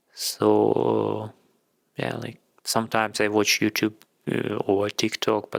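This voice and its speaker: A man speaks with a Ukrainian accent at a fairly slow pace. The sound is dry and close, with no echo. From Ukraine. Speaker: content creator. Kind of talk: casual vlog monologue. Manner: halting.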